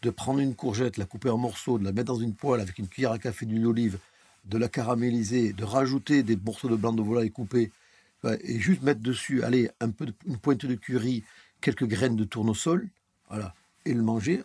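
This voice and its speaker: Here a man speaks with a dark, mellow tone. The recording is very clean, with a silent background. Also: medium pitch for a man, ordinary pitch variation, fairly quick pace, dry, close sound with no echo. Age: 50s. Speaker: chef. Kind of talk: casual interview. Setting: near restaurant kitchens.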